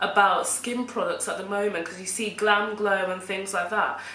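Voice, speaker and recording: Audible room echo and noticeable background noise surround a woman. She talks at a moderate pace with a medium pitch. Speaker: vlogger. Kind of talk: personal vlog monologue. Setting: home recording with camera on tripod.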